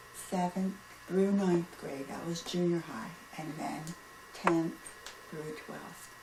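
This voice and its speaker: With an American accent, a woman speaks very slowly in a fairly low voice with fairly even intonation, big swings in loudness and long, frequent pauses, amid noticeable background noise. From Pennsylvania, US. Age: 70s. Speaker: grandmother being interviewed. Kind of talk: casual interview.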